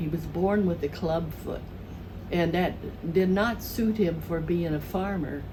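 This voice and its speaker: Speaking in a South Midland US accent, the voice moves at a very slow pace with fairly even intonation. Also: woman. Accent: Southern Midland American. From southern Missouri. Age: 80s+. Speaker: retired elementary school teacher. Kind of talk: interview answer, reminiscing.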